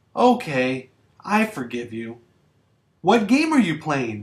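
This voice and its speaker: Using a put-on character voice, a man speaks fairly slowly at a fairly high pitch with very wide pitch swings. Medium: read story.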